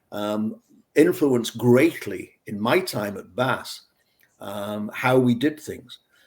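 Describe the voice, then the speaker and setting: A man with a northern English accent talks at a very slow pace and medium pitch, his pitch varying in an ordinary way while his loudness swings widely. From northwest England, near Manchester. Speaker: beer scientist. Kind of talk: interview. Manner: conversational with frequent fillers and repeats.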